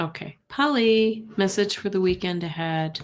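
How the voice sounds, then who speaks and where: A soft-spoken woman talks at a medium pitch with ordinary pitch variation. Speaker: tarot card reader. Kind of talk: live stream tarot reading. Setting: live stream. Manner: halting.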